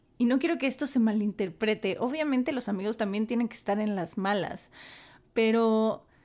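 Against a silent background in a very clean recording, a woman with an unremarkable speaking voice talks at a fairly high pitch with ordinary pitch variation. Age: 30s. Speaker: podcast host. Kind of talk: solo podcast monologue.

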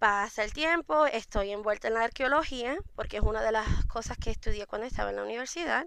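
A woman talks at a fairly quick pace with hardly any pauses. Her fairly high pitch carries a bright, sharp tone and lively intonation. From Puerto Rico. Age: 30s. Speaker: mead maker. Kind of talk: interview.

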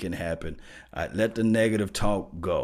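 A man speaks in an animated tone with a Mississippi accent, his pitch fairly low. The recording is very clean, with a silent background. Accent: US Southern (Mississippi). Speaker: sports fan channel host. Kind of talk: motivational monologue to viewers.

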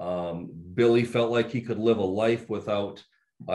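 This man talks at a moderate pace, his pitch in the medium range. He has an unremarkable speaking voice. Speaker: trade school founder and CEO. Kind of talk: panel discussion.

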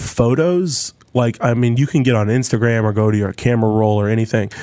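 Here is a normal speaking voice from a man at medium pitch. He talks at a fairly quick pace with ordinary pitch variation. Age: 30s. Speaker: folk musician. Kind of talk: casual chat.

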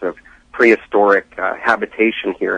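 In an ordinary speaking voice, someone talks at a moderate pace, the sound dry and close with no echo. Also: man. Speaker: archaeology enthusiast. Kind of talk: phone interview. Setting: phone call.

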